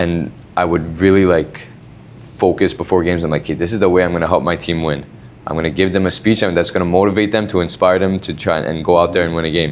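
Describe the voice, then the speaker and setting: A man speaks at a very fast pace in a very deep, low voice with fairly even intonation, over noticeable background noise. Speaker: podcast host and trainer. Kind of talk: casual chat. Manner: calm.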